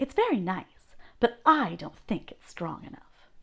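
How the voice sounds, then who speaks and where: A woman puts on a character voice, speaking with high pitch at a moderate pace. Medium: read story.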